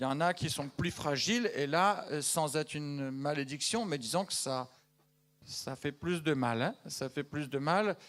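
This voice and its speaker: A man with a fairly high pitch speaks at a fairly slow pace with ordinary pitch variation. The recording is very clean, with a silent background. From Madagascar. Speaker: missionary giving news to a church. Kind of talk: church news update to congregation. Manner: conversational, hesitant with fillers.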